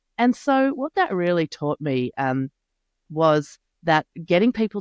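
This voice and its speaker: At a moderate pace, a woman talks with an Australian accent in a dry, close sound with no echo. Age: middle-aged. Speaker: sustainability consultant. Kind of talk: interview. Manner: halting, many fillers.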